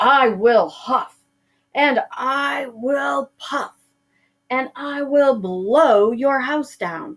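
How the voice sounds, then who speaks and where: Shouting loudly in a put-on character voice, a woman stretches her high-pitched words out at a very slow pace. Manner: furious, shouting.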